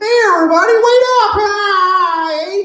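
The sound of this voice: A put-on character voice at an extremely high pitch moves at a fairly slow pace with a slight echo.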